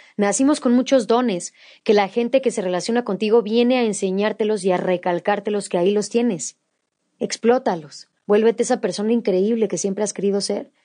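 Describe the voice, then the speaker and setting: A woman speaks at a fairly quick pace with a Mexican accent, her pitch fairly high and her tone dark and mellow. Her pitch varies in an ordinary way over a quiet background. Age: 20s. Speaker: podcast host. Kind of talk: solo monologue podcast.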